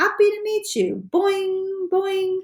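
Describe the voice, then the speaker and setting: An extremely high-pitched put-on character voice from a woman. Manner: cheerful, bouncy.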